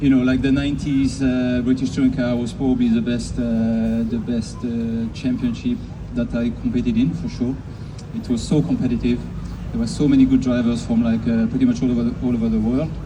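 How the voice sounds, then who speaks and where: Audible room echo and noticeable background noise surround a man who talks at a fairly quick pace. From Switzerland. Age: 60s. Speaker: racing driver. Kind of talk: interview at event.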